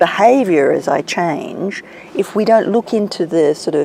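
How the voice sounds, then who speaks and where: A woman speaks with an Australian accent at a medium pitch and a moderate pace, her pitch swinging very widely. There is noticeable background noise. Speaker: executive coach. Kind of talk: interview.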